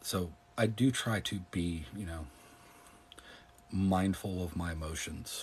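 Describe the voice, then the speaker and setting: Very slow and calm, a man speaks in a somewhat breathy, very deep, low voice with ordinary pitch variation and long, frequent pauses. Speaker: political commentator and live streamer. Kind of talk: casual chat. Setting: live stream.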